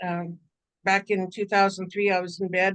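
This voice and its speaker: Speaking with a Canadian accent, a woman is heard. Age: 60s. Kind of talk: workshop talk. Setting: video call. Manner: halting, many fillers.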